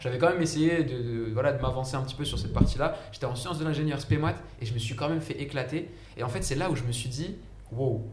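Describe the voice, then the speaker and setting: A man with a medium-pitched voice talks at a very fast pace. Audible room echo and noticeable background noise are present. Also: ordinary pitch variation. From France, Saint-Denis (93), Egyptian heritage. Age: 20s. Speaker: engineer and startup founder. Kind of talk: casual chat. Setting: live stream. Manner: talkative.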